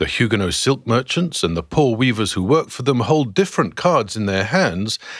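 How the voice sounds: Natural reading voice, nothing more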